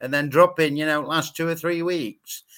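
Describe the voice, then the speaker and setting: Very clean recording with a silent background: a man's fairly high, bright, sharp voice at a moderate pace. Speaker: football pundit. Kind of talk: casual panel chat.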